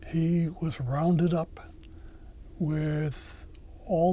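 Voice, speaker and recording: A man's dark, mellow, somewhat breathy voice carries audible room echo. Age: 80s+. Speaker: war veteran. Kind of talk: oral history interview. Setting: recorded interview at library. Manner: halting, many fillers.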